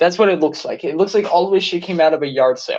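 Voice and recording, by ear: A man talking at a fast pace, with ordinary pitch variation. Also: fairly high pitch for a man, slightly mellow tone.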